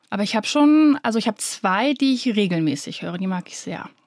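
The voice moves at a moderate pace, captured with a dry, close sound and no echo. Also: woman. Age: 30s. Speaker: podcast co-host, influencer. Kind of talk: casual chat.

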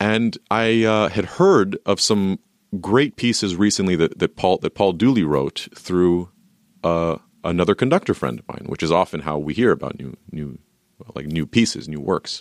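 A man's very deep, low voice at a moderate pace, with lively intonation, big swings in loudness, and a dry, close sound with no echo. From US, moved from Romania at four; raised in California. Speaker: orchestra conductor. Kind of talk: radio interview.

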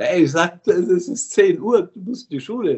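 This man's pitch swings very widely. He speaks at a fairly slow pace. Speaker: founder of a school-building charity, former tour operator boss. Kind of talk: interview. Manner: animated.

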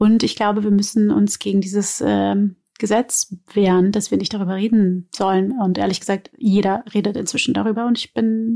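Dark, mellow tone with fairly even intonation at a moderate pace, in a dry, close sound with no echo. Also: woman. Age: 30s. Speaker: actress and podcast co-host. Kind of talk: casual chat.

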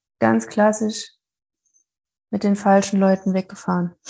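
A woman speaks at a very slow pace in a somewhat breathy voice. Her intonation is monotone and flat. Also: long, frequent pauses. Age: 30s. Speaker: psychology graduate and coach, former addict. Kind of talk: casual interview about addiction recovery.

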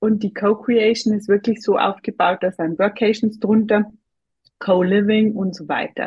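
A woman with a Bavarian accent, somewhat breathy and fairly high-pitched, at a fairly slow pace in a monotone, flat intonation. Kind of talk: interview.

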